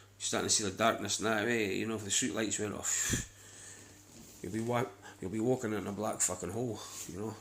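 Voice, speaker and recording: A fairly low-pitched man with a Scottish accent, monotone and flat, at a fairly quick pace broken by long, frequent pauses. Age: 30s. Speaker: vlogger. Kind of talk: casual monologue. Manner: rambling, repetitive.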